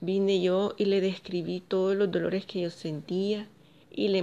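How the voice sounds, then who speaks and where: In an ordinary speaking voice, a woman talks at a fairly low pitch and a fairly slow pace, her intonation fairly even. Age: 40s. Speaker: vlogger sharing personal story. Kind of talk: personal testimony.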